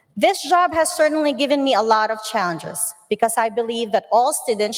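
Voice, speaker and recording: Noticeable background noise accompanies a woman with a fairly high pitch. She speaks at a moderate pace with lively intonation. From Philippines. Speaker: special education teacher. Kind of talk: prepared speech.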